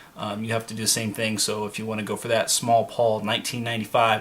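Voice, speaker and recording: Through noticeable background noise, a man's medium-pitched voice moves at a fairly quick pace. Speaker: YouTuber. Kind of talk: casual vlog talk. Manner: filler-heavy, many ums.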